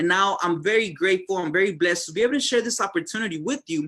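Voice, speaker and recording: Raised and projected, a man's high-pitched voice has a bright, sharp tone and ordinary pitch variation. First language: Spanish. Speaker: network marketing distributor. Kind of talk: sales presentation. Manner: hesitant, many fillers.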